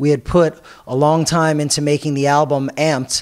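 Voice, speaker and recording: Speaking in an American accent, a man keeps a moderate pace at a fairly high pitch. His delivery is monotone and flat. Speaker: rock band frontman. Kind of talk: casual interview.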